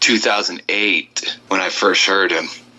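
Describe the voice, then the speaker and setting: There is noticeable background noise as a man talks with an Upper Midwest accent. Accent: Upper Midwest American. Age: 30s. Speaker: country singer. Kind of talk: interview. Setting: Skype call.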